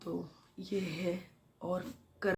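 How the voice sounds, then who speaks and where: A somewhat breathy woman's voice with fairly even intonation. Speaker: vlogger. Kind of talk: casual vlog talk. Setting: at home. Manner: hesitant, with fillers.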